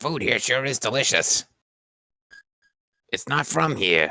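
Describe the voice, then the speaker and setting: Using a raspy, put-on character voice of medium pitch, a man speaks at a fairly slow pace with very wide pitch swings. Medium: game stream.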